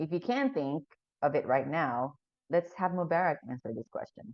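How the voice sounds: A woman with a low voice speaks at a moderate pace with lively intonation, in a dry, close sound with no echo.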